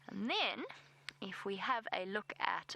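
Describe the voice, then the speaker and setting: Recorded very cleanly with a silent background and a dry, close sound free of echo, the voice has a bright, sharp tone and a South African accent. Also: woman. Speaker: safari guide presenter. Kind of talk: live safari commentary. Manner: casual, self-deprecating.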